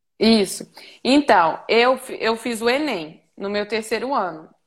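With a plain, everyday voice, a woman speaks at a fairly high pitch with ordinary variation. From Minas Gerais, Brazil. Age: 20s. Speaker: veterinary student intern. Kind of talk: casual interview on a live stream. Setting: remote call from a farm.

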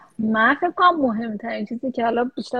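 A woman speaks at a very fast pace. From Iran. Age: 30s. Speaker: research scientist. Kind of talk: interview. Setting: live stream.

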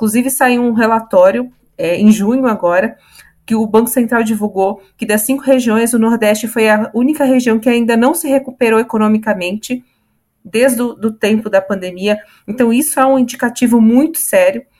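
Her voice fairly high, a woman speaks at a moderate pace with an ordinary speaking voice and fairly even intonation. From Santos, São Paulo state, Brazil. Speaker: podcast panelist. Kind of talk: casual panel discussion.

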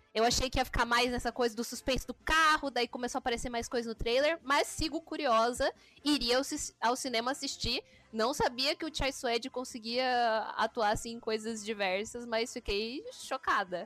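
At a moderate pace, a woman speaks in a high pitch with a bright, sharp tone and ordinary pitch variation, the sound dry and close with no echo. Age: 20s. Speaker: podcast co-host. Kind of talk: casual chat.

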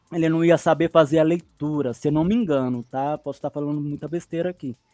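The sound is dry and close with no echo, and music plays in the background. A man talks at a moderate pace. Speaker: sim racing driver and streamer. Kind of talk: casual chat.

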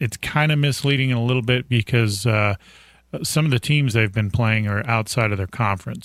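This man has a plain, everyday voice, pitched medium with ordinary pitch variation. He speaks at a moderate pace on a very clean recording with a silent background. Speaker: radio co-host. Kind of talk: casual chat. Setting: studio.

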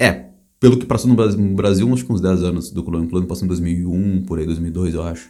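A man with a very deep, low pitch and a dark, mellow tone talks at a fairly quick pace with ordinary pitch variation. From Brazil. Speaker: podcast host. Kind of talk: casual chat.

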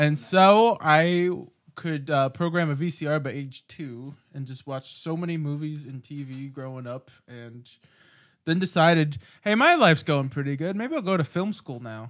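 Using an ordinary speaking voice, a man with a fairly high pitch talks at a moderate pace with big swings in loudness. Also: ordinary pitch variation. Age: 20s. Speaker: podcast co-host, film school graduate. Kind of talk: casual chat.

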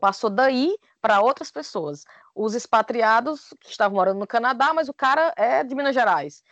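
With a Cearense accent, a woman at a fairly high pitch makes very wide pitch swings and big swings in loudness, recorded dry and close with no echo over a quiet background. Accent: Cearense Brazilian Portuguese. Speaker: podcaster. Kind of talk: casual chat.

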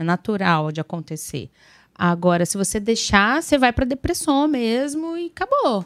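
At a moderate pace, a woman speaks with a fairly high pitch and very wide pitch swings, the sound dry and close with no echo. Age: 30s. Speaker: podcast co-host, new mother. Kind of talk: casual podcast chat.

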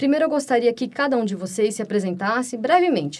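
Delivered at a fairly quick pace with lively intonation, this is an ordinary speaking voice. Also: woman. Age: 30s. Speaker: podcast host and music student. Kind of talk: casual chat.

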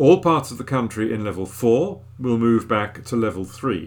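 A man with a plain, everyday voice talks at a medium pitch and moderate speed, his pitch varying in an ordinary way. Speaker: volunteer newsreader. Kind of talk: newsreading, reading newspaper articles aloud. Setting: recorded at home. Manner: clear, steady, formal newsreader delivery.

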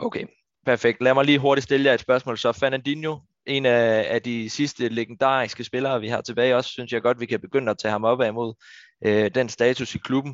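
This man's intonation stays monotone and flat. His pitch is medium, and he moves at a fairly quick pace. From Denmark, Funen. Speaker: football podcast host. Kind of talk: casual chat. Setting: virtual studio.

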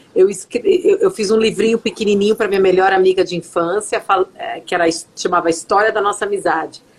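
Speaking at a fairly quick pace, a woman with a São Paulo accent keeps a medium pitch and a monotone, flat intonation. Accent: Brazilian Portuguese, São Paulo. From Brazil, São Paulo (São Bernardo do Campo). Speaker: psychologist and author. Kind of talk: interview. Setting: live video stream, remote.

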